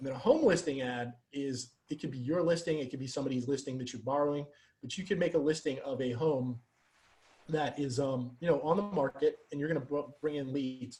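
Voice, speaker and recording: His voice is somewhat breathy and fairly high-pitched for a man. He talks at a fairly quick pace with fairly even intonation. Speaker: Facebook ads coach for real estate agents. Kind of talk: webinar presentation. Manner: fast; faster than usual, rushed.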